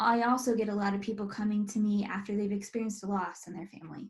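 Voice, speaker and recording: A woman with an American accent speaks in a fairly high, somewhat breathy voice. Her intonation is monotone and flat. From US, North Carolina. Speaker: estate planning business owner. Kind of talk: webinar presentation. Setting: online webinar. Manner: casual, with many fillers.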